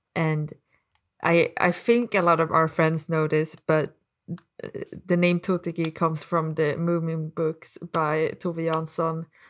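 A woman with a non-native accent speaks fairly slowly in a fairly low, monotone, flat voice. The recording is very clean, with a silent background. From Sweden. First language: Swedish. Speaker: podcast co-host. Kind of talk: casual chat.

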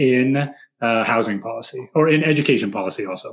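With an American accent, a man talks in an ordinary speaking voice at a medium pitch. His pace is moderate and his intonation lively. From San Francisco, US West Coast. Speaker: podcast host, former teacher. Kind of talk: casual chat.

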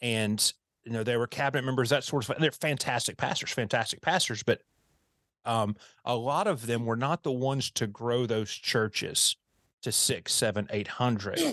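In a dry, close recording with no echo and a quiet background, a man with an American accent uses a plain, everyday voice at medium pitch, moderate pace and ordinary pitch variation. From US South. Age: 40s. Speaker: pastor and church consultant. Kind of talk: interview conversation. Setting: video call.

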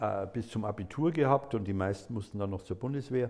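This man has a medium pitch and an unremarkable speaking voice. His pitch varies in an ordinary way. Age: 60s. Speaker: lawyer. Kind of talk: interview answers.

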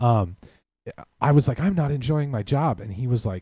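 With an American accent, a man speaks at a fairly quick pace in a somewhat breathy, dark, mellow voice of medium pitch. His intonation is lively, and the sound is dry and close with no echo. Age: 40s. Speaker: podcast guest. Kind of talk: casual chat.

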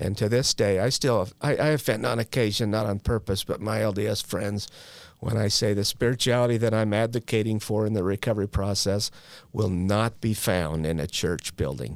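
In an ordinary speaking voice with an American accent, a man with fairly low pitch and ordinary pitch variation talks at a fairly quick pace with very even loudness, on a very clean recording with a silent background. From Utah. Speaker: person in long-term addiction recovery, known in the recovery field. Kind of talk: personal recovery testimony. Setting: studio.

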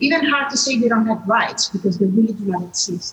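A somewhat breathy woman's voice with an Italian accent. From Italy. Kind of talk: panel discussion. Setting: video call.

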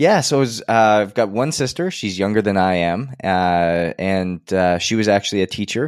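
A man with a Canadian accent talks at a moderate pace with hardly any pauses. He has an unremarkable speaking voice, fairly low in pitch, with ordinary pitch variation. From Edmonton, Alberta, western Canada. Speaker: health and performance coach. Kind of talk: interview conversation.

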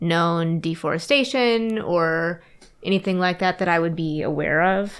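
At a moderate pace, a woman with a fairly low pitch and an unremarkable speaking voice talks over a very clean recording with a silent background. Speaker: tabletop game player.

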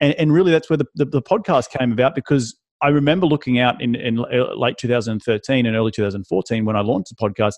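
This man speaks with an Australian accent at a fairly quick pace. His pitch is medium with ordinary variation. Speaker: real estate investor and author.

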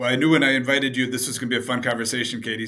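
A man with a bright, sharp tone and fairly even intonation. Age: 50s. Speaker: podcast host. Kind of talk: casual interview.

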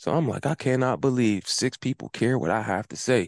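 Someone talks at a fairly quick pace with an American accent. The sound is dry and close with no echo, over a quiet background. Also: man. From Pittsburgh, Pennsylvania. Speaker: lawn care business owner and podcaster. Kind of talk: casual interview chat.

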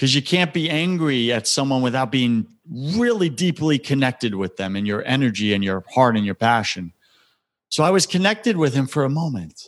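With an American accent, a man speaks at medium pitch and a moderate pace, his pitch swinging very widely against a quiet background. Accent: New York accent noticed by others. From US Northeast, Long Island, New York. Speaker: spiritual coach and podcast host. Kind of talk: interview, personal testimony.

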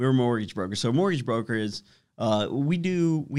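Speaking at a fairly quick pace with lively intonation, a man has an ordinary speaking voice in a very clean recording with a silent background. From US, Washington DC area (Fairfax, Virginia). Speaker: mortgage broker co-owner. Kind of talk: casual interview.

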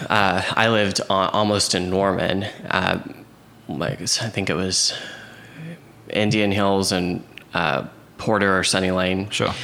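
Amid noticeable background noise and audible room echo, a man with a fairly low pitch talks fairly slowly with fairly even intonation, very even loudness, and long, frequent pauses. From Oklahoma City, US. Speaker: real estate agent and coach. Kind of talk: casual interview chat. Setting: host's kitchen, in person.

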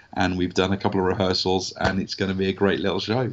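A man with a southern English accent speaks in a very deep, low pitch. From southern England. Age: 40s. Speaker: actor and voice artist. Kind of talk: casual interview. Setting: remote call.

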